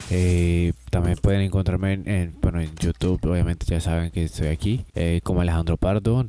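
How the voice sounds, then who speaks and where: A man's very deep, low voice in a dark, mellow tone, at a moderate pace with ordinary pitch variation and a dry sound with no echo. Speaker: gaming streamer. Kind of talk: casual chat to viewers. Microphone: new microphone, level seems low; studio mic.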